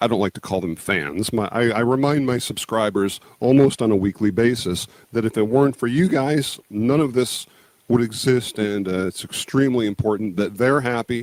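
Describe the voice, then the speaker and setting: This man's voice has a medium pitch that varies in an ordinary way, and his pace is moderate. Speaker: YouTube creator, former musician. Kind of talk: interview. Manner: casual, hesitant fillers.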